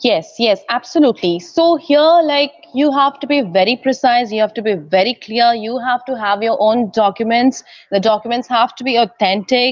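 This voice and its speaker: She has a high-pitched voice and a moderate pace. Behind her the background is quiet. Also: ordinary pitch variation. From India. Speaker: in-house lawyer. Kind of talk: interview. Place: hall. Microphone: earbuds.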